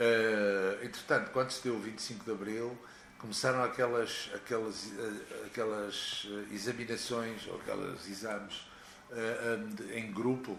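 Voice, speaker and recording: Monotone, flat intonation from a man, with audible room echo and noticeable background noise. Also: medium pitch for a man, fairly slow pace. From Portugal, Porto. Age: 60s. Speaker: rock singer. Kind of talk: interview. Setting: at home.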